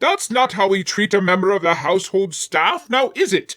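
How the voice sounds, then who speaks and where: A man puts on a character voice with a high pitch. Its pitch variation is ordinary. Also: moderate pace. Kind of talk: Victorian period speech. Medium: read story. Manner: formal, calm.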